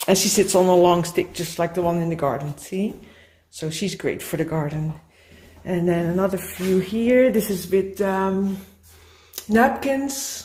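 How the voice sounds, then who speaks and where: Speaking with a Dutch accent, a woman has a dark, mellow tone and a somewhat breathy voice. She goes at a fairly slow pace. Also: medium pitch for a woman, ordinary pitch variation. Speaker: mixed media artist. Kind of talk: show-and-tell tour of artworks. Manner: halting.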